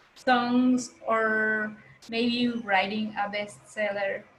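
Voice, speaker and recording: A woman speaks in a fairly high, monotone voice with flat intonation over noticeable background noise. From Mexico, Maya. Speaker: workshop facilitator and singer. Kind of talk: workshop presentation. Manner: halting, with fillers.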